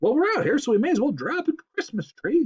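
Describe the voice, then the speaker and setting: In a put-on character voice, the speaker goes high and shrill at a fairly quick pace with very wide pitch swings. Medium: read story.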